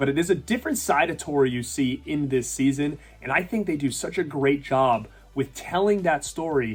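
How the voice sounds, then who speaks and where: A man with a somewhat breathy, fairly high voice speaks at a moderate pace. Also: ordinary pitch variation. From Rhode Island. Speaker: YouTube reviewer. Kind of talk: casual talk to camera.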